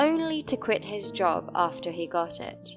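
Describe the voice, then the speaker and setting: Fairly slow speech from a woman with a British accent, music in the background. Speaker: English teacher. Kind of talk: English lesson explanation. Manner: slow, clear repetition of examples.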